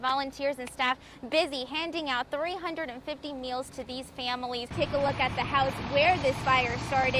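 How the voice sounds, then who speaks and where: Against noticeable background noise, a woman with an American accent uses a raised, projected voice at a high pitch, with fairly even intonation and a moderate pace. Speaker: television news reporter and anchor. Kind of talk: live shot reporting in the field.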